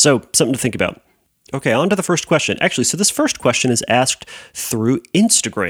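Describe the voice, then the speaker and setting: Racing at a very fast pace, a man speaks with very wide pitch swings. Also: dry, close sound with no echo. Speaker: therapist podcast host. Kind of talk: solo Q&A podcast monologue. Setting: empty room at home. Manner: hesitant with many filler words.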